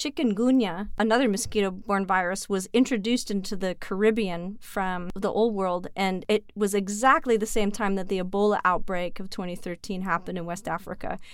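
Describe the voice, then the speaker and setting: An ordinary speaking voice runs on with hardly any pauses and fairly even intonation in a very clean recording with a silent background. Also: woman. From Canada. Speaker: virologist. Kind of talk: casual interview.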